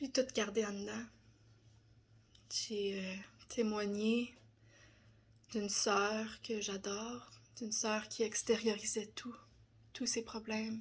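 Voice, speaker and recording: In a Quebec accent, a woman speaks very slowly and somewhat breathily, with monotone, flat intonation and long, frequent pauses. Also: fairly high pitch for a woman. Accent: Québécois French. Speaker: personal development content creator. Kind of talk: personal testimony. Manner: hesitant, many fillers.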